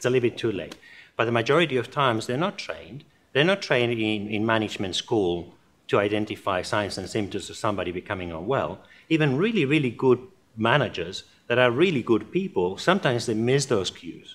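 The intonation is lively. This man talks at a very fast pace. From born in Germany to Spanish parents, lives in Australia. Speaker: workplace mental health organization founder. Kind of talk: interview. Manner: animated. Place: studio.

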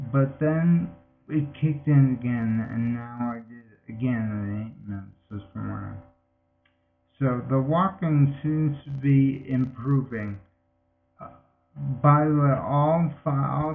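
A man speaks very slowly, and his loudness rises and falls sharply. Faint music plays in the background. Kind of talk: casual vlog chat. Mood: calm, matter-of-fact. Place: home room. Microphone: webcam.

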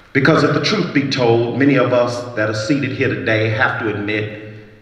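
Heard with audible room echo, a man talks at a moderate pace with ordinary pitch variation. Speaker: pastor giving an address. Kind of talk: sermon. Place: stage. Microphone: handheld.

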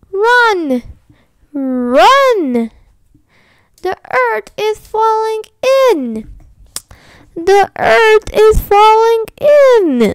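A woman performs a put-on character voice that is shrill and extremely high-pitched. She speaks very slowly, with long, frequent pauses. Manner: shrieking in panic.

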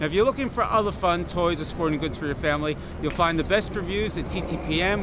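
A man at a fairly quick pace, dry sound with no echo, noticeable background noise around him. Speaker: toy reviewer. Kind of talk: product review presentation. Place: open country.

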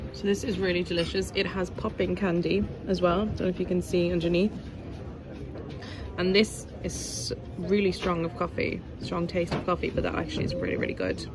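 A fairly quick pace and fairly even intonation, with noticeable background noise. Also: woman, fairly low pitch for a woman. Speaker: food vlogger. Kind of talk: casual vlog chat. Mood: cheerful, relaxed. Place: bar. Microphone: phone near.

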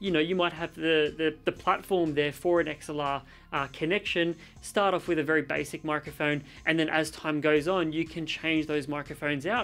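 The speech moves at a moderate pace with fairly even intonation, and faint music plays in the background. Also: man. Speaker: tech reviewer. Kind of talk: tutorial. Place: home room.

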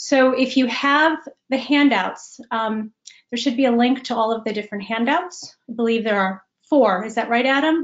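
A woman with an American accent speaks at a high pitch and a moderate pace. Her pitch varies in an ordinary way over a quiet background. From US Midwest, Chicago. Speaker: executive coach. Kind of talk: webinar presentation. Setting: video call. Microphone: webcam.

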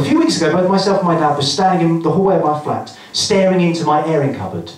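Amid light background noise and audible room echo, a man speaks at a very fast pace. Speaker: stand-up comedian. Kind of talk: stand-up comedy routine. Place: stage.

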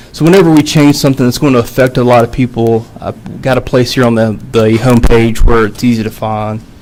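A man at medium pitch, talking at a fairly quick pace with hardly any pauses, amid noticeable background noise. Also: ordinary pitch variation. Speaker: city department head. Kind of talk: presentation to city council. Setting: council work session. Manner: halting, many fillers.

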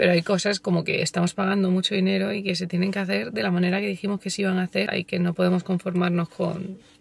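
A woman with vocal fry talks very fast with hardly any pauses and fairly even intonation, the sound dry and free of echo. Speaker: vlogger. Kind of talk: casual vlog chat. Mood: nervous about meeting contractor. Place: car. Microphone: phone near.

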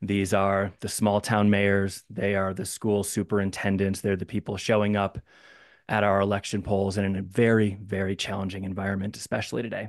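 Flat and monotone, a man speaks at a fairly quick pace. His pitch is fairly low, and the background is quiet. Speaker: former city council member. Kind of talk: audience question. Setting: video call. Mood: warm, grateful. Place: home room. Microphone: studio mic.

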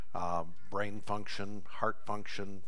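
A man speaks with a very deep, low pitch. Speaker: pastor or preacher. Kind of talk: church announcement before sermon. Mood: somber, gentle. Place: church.

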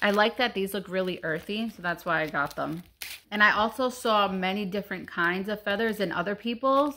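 A woman's bright, sharp tone with ordinary pitch variation over light background noise. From Puerto Rican heritage. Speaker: YouTuber / craft vlogger; craft vlogger. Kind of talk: casual DIY vlog; casual vlog chat. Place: home room. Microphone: phone near.

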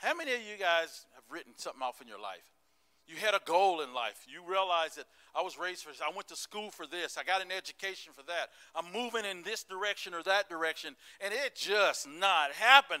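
A man speaks quickly with a high pitch and a bright, sharp tone in an American accent. His intonation is lively, his loudness swings widely, and the background is quiet. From US South, Tennessee (Smoky Mountains). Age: old. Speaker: pastor. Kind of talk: sermon. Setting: church service with congregation. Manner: animated. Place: church. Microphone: handheld.

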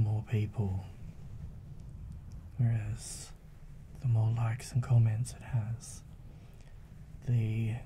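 A soft-spoken man with a medium pitch talks at a very slow pace in a relaxed tone. His intonation is monotone and flat, with noticeable background noise. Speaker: ASMR content creator. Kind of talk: soft-spoken ASMR chat to camera. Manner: soft-spoken, relaxed. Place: home room. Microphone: studio mic.

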